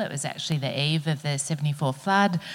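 With an Australian accent, a woman speaks with ordinary pitch variation. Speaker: panel chair, professor. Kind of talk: panel moderation. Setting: stage with audience.

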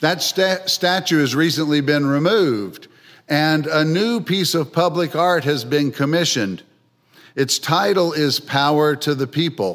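In a very clean recording with a silent background, a normal speaking voice with an American accent moves at a fairly slow pace. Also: man, fairly high pitch for a man, ordinary pitch variation. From Philadelphia, US. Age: 60s. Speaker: guest preacher. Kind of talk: sermon. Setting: church.

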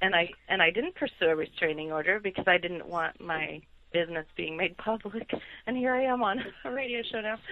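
A woman with an unremarkable speaking voice, a medium pitch and lively intonation. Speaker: attorney. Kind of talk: casual chat.

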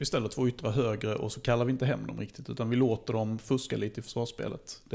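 A man talks at a fairly quick pace in a medium pitch, with vocal fry. His intonation is monotone and flat. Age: 40s. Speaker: football club podcast co-host and technician. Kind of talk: casual chat.

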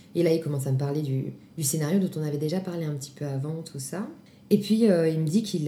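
A woman with a very deep, low pitch and a dark, mellow, somewhat breathy tone speaks at a fairly quick pace amid audible room echo. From Grenoble, France. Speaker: actress and singer. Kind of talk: testimony.

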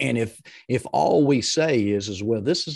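Lively intonation from a man over a quiet background. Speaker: leadership coach. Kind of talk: podcast interview. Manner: loud; energetic.

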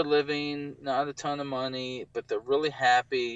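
At a moderate speed comes an ordinary speaking voice. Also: man. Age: 40s. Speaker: photographer and business owner. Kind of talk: casual interview about living with bipolar.

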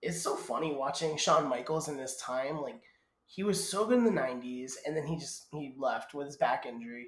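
An American accent and an ordinary speaking voice mark this man, pitched fairly high. His pace is moderate, with lively intonation and big swings in loudness. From Massachusetts. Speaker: wrestling podcaster. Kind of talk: casual watchalong chat.

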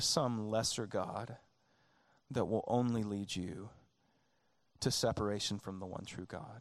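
A man with a Southern US accent at a medium pitch, with fairly even intonation and a fairly slow pace. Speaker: pastor. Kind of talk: sermon. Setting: church.

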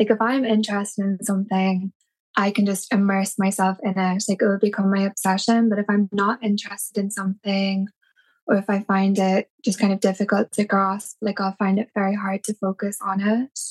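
A somewhat breathy woman at a medium pitch, fairly quick and monotone, with flat intonation and a dry, close sound with no echo. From Ireland, Cork City. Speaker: tattoo artist. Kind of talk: casual interview.

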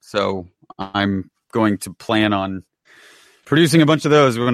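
An unremarkable speaking voice, this man's is fairly low in pitch, caught on a very clean recording with a silent background and a dry, close sound with no echo. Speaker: podcast host. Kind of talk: casual chat.

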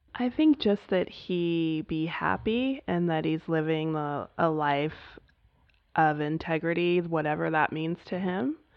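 A woman's fairly low voice at a fairly slow pace, with ordinary pitch variation. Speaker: nurse and mother. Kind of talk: interview. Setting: at home with child nearby.

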